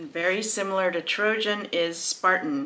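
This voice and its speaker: Speaking with an American accent, a woman keeps a fairly slow pace. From California, US. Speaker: crochet YouTuber. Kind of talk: casual video review of a crochet book. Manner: animated. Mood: warm, enthusiastic. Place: home room.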